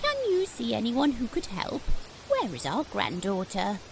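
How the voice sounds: Someone performs a cartoonish character voice over clear background noise. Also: woman, moderate pace.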